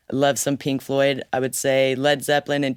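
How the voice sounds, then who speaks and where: With an American accent, a woman speaks at a moderate pace in a very deep, low voice, and the sound is dry and close with no echo. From Southern California (Oceanside). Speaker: singer-songwriter. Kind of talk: interview.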